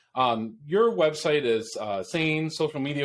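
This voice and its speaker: This is a man talking. He speaks with an upstate New York accent. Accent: upstate New York American. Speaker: podcast host. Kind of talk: interview.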